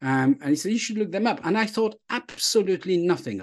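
Against a quiet background, a man talks at a very fast pace with a French accent, his pitch swinging very widely. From Burgundy, France. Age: 50s. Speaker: leadership author and speaker. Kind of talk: casual interview chat, storytelling. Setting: video call.

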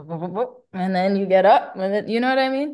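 Against a quiet background, a speaker in a Bronx accent talks at a moderate pace with lively intonation. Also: woman. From New York, the Bronx. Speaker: singer. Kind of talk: casual chat. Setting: remote interview.

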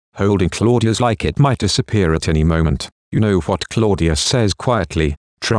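With a quiet background, the text is read aloud in a natural voice.

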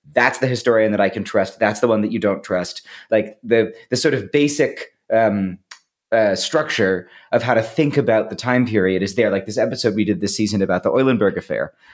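In a very clean recording with a silent background, a man uses an ordinary speaking voice with an American accent. His pitch is medium, with ordinary variation, and his pace is fairly quick. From US Northeast, Boston. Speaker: writer, researcher and podcaster. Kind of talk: casual interview chat.

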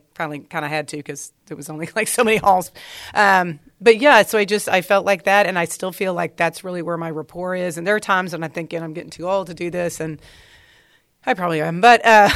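This woman has an ordinary speaking voice at a fairly low pitch. Her pitch varies in an ordinary way. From Texas, Dallas. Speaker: English teacher. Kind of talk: interview.

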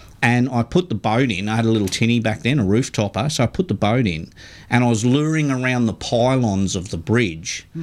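With an Australian accent, a man at a medium pitch speaks at a fairly quick pace with lively intonation, recorded very cleanly against a silent background. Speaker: radio fishing show co-host. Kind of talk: casual chat.

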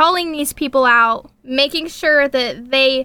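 In a raised, projected voice with a bright, sharp tone, the speaker moves at a fairly slow pace with fairly even intonation. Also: woman. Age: 20s. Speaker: singer-songwriter. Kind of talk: interview conversation.

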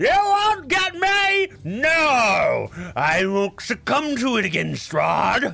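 Over light background noise, a man shouts in a put-on character voice at an extremely high pitch, going very slowly. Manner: shouty, paranoid, bossy.

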